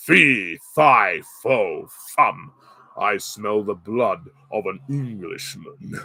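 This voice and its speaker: Very slow, put-on character voice from a man. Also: medium pitch for a man. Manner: booming, menacing.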